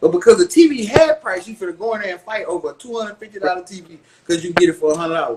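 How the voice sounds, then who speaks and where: Speaking at a very fast pace, a man uses a high pitch and lively intonation. His loudness swings widely. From Houston, Texas. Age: 40s. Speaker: rapper. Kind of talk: casual interview. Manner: animated.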